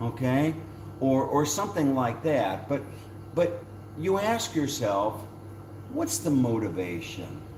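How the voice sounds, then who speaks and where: A man speaks at a medium pitch and a very slow pace, with very wide pitch swings, very even loudness, and long, frequent pauses. Audible room echo and noticeable background noise surround him. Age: 70s. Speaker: YouTuber. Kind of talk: casual chat.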